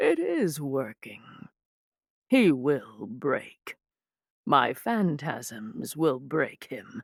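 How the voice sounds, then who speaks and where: In a put-on character voice, a woman speaks at a very slow pace with a very deep, low pitch and very wide pitch swings, the sound dry and close with no echo on a very clean recording with a silent background. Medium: read story. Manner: smug, crude.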